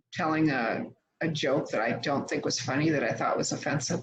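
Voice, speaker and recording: This woman has a very deep, low pitch, ordinary pitch variation and a somewhat breathy sound. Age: 60s. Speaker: social worker and nonprofit leader. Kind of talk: conference talk. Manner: hesitant, with many fillers.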